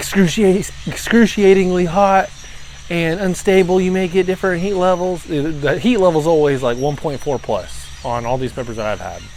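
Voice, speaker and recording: Over noticeable background noise, a high-voiced man talks at a moderate pace with lively intonation. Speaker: pepper reviewer. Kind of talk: casual video review. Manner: slurred speech from salivating.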